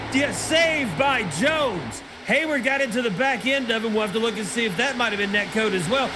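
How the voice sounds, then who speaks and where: With a raised, projected voice, a man speaks at a fairly quick pace and with lively intonation. Music plays in the background, and the room echo is audible. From Tennessee, Nashville. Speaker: sim racing commentator. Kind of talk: live commentary. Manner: animated.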